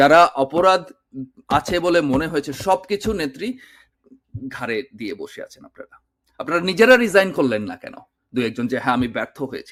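Big swings in loudness and very wide pitch swings. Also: man, high pitch for a man. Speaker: political commentator. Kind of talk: video monologue.

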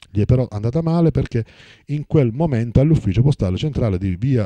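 A man with a dark, mellow tone talks at a very fast pace with ordinary pitch variation. The sound is dry with no echo, over a quiet background. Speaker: press review reader. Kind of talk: news reading, reading newspaper articles aloud in a steady formal broadcast style. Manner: formal; even, steady, newsreader delivery. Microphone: phone near.

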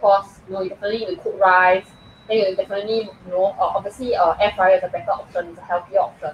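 A woman at a fast pace, with little pitch movement and a husky, rough edge. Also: medium pitch for a woman.

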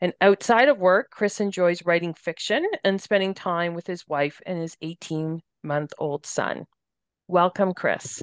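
A woman's fairly low, fairly slow voice with a Canadian accent and ordinary pitch variation, an unremarkable speaking voice, dry and close with no echo against a quiet background. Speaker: podcast host, hospice staff. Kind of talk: podcast interview. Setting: studio.

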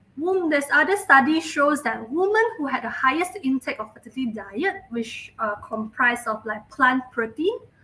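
A woman speaks at a fairly slow pace in a raised, projected voice. Her pitch swings very widely. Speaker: presenter. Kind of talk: lecture. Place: home room.

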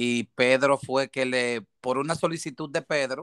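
Speaking at a fairly slow pace, a man has a bright, sharp tone and ordinary pitch variation. The recording is very clean, dry and close, with a silent background and no echo. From Dominican Republic (Haina, near Santo Domingo). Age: 40s. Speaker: paramedic / rescue worker. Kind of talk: interview. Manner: halting.

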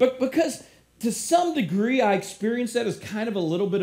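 With lively intonation, a man speaks over a quiet background. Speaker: preacher. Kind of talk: sermon. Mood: candid, lightly humorous. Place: church.

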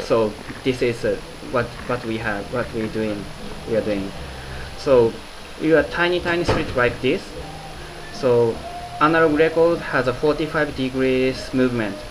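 Against noticeable background noise, a man of medium pitch and ordinary pitch variation talks at a moderate pace with long, frequent pauses. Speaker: engineer, cartridge developer. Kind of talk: interview answer. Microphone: phone near.

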